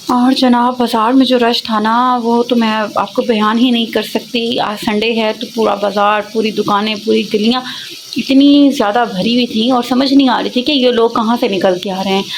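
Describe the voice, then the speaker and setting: A woman speaks with a fairly high pitch and fairly even intonation. Noticeable background noise runs under her voice. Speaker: vlogger. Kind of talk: casual vlog narration.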